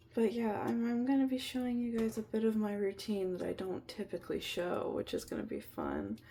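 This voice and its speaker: The voice is quiet and moves at a fairly quick pace. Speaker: vlogger. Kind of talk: casual vlog. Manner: quiet, hushed.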